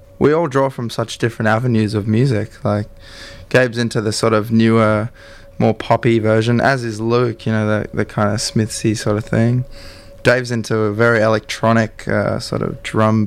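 Monotone, flat intonation from a man with an Australian accent, at medium pitch and a moderate pace. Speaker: band member. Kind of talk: casual radio interview chat. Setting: studio. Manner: rambling, hesitant, filler-heavy.

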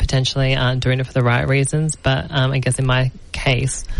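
A woman speaks with an Australian accent and a very deep, low pitch. Her pace is moderate. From New South Wales, Australia. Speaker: podcast host and actress. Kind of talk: interview. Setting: studio.

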